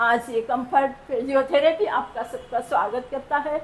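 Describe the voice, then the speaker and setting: The speaker has a non-native accent and ordinary pitch variation. Noticeable background noise runs underneath. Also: woman. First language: not Hindi (speaking Hindi). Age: old. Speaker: patient. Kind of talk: testimony. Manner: emotional.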